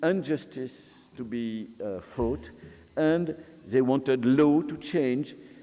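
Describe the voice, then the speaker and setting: A man with a French accent speaks at a very slow pace with lively intonation. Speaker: sociologist. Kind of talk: lecture. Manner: halting.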